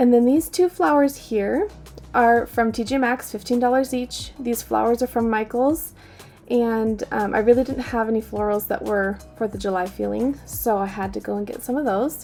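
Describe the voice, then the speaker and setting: Music plays behind a woman who talks at an average speed. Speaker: homemaking vlogger, stay-at-home mom. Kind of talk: casual decorating vlog. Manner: friendly, chatty.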